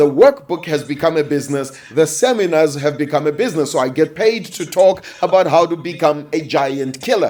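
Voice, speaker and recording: Amid noticeable background noise, a man talks in an animated tone at a moderate pace, with ordinary pitch variation and hardly any pauses. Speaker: business and publishing coach. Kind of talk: coaching talk.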